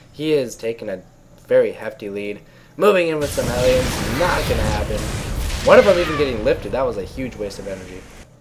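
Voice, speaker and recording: There is noticeable background noise while a man speaks fairly quickly. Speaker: esports caster. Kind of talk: live commentary. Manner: animated.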